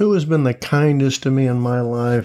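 A plain, everyday voice from a man with an American accent, medium in pitch with ordinary pitch variation. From Tampa, Florida, US. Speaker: podcast guest in addiction recovery. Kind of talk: casual interview chat.

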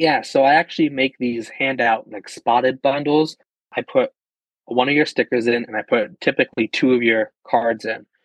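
This man has a plain, everyday voice and an American accent, pitched at a medium level. He keeps a moderate pace and fairly even intonation, and the sound is dry and close with no echo. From Pennsylvania. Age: 20s. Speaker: car enthusiast. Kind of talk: casual chat.

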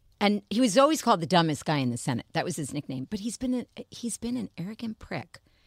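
A woman at a very fast pace with vocal fry and very wide pitch swings, dry, close sound with no echo, on a very clean recording with a silent background. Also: medium pitch for a woman. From New York. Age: 60s. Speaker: publicist and former fashion editor. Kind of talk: casual chat.

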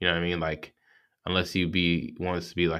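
American-accented man, very deep and low pitch, monotone and flat intonation, very clean recording with a silent background. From US South, Georgia. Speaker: podcast host. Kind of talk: casual solo monologue. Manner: casual, filler-heavy.

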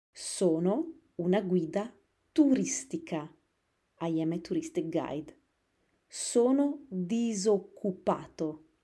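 A woman's somewhat breathy voice, medium in pitch, in a dark, mellow tone, very slow with long, frequent pauses and very wide pitch swings, on a very clean recording with a silent background. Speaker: Italian teacher. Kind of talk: language lesson. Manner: slow, repetitive.

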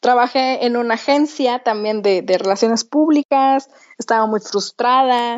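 A woman speaks very slowly. Her pitch varies in an ordinary way. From Mexico, Torreón. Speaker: entrepreneur. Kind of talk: interview.

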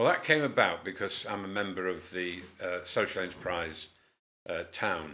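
The tone is bright and sharp, with a northern English accent. The pace is moderate. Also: man. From Cumbria, northern England. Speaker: community group founder. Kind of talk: interview. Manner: hesitant, many fillers.

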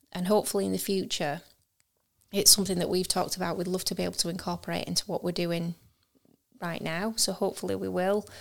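Over a silent background in a very clean recording, a woman talks at a very fast pace in a fairly low voice with vocal fry, monotone, flat intonation and long, frequent pauses. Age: 40s. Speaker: podcast co-host, business owner. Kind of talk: casual chat.

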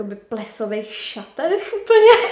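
Audible room echo follows a woman as she speaks. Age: young. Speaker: author and copywriter. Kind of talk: casual interview chat.

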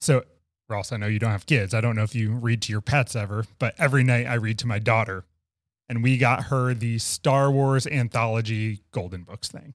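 On a very clean, dry and close recording with no echo and a silent background, a man talks at a moderate pace. His is an unremarkable speaking voice of medium pitch and fairly even intonation. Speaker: podcast co-host. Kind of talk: casual interview conversation. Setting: in-person studio recording.

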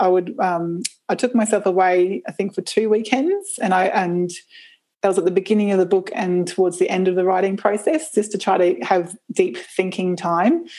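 A woman with an Australian accent speaks at a moderate pace and medium pitch, with ordinary pitch variation and very even loudness. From Brisbane, southeast Queensland, Australia. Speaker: permaculture educator and climate activist. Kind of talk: casual interview conversation.

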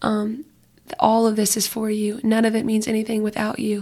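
With monotone, flat intonation, a woman speaks at a fairly high pitch and a moderate pace, sounding somewhat breathy. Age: 20s. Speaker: youth small group leader. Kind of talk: casual faith conversation.

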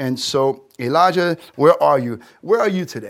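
On a very clean recording with a silent background, a man with a New York accent speaks at a fairly slow pace. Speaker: pastor. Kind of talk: sermon. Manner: animated.

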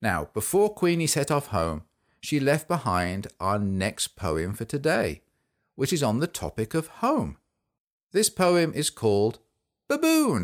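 A man speaks fairly slowly at medium pitch, with very wide pitch swings. The recording is very clean and dry, close with no echo and a silent background. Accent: English. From England. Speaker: children's podcast host. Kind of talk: children's poetry show. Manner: animated.

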